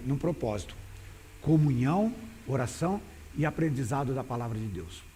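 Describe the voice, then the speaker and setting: In a room with audible echo, a man with a fairly high, somewhat breathy voice speaks at a moderate pace with very wide pitch swings. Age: 60s. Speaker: pastor. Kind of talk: sermon. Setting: church. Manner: halting.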